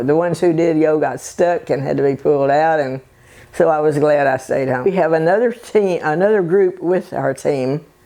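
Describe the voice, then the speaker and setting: A woman's very deep, low voice in a Texan accent, with ordinary pitch variation at a moderate pace. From Bay City, Texas. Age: 80s+. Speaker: birdwatcher. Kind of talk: interview answer.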